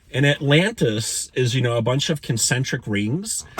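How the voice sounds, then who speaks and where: The tone is animated and somewhat breathy. Its intonation is lively. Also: man. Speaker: spiritual vlogger. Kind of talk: personal storytelling monologue. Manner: fast.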